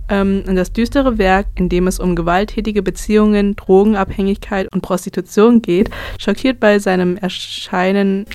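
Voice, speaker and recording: A woman's voice at medium pitch, moving at a moderate pace. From Brandenburg, Germany. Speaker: student radio host. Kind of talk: casual music radio chat. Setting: radio studio.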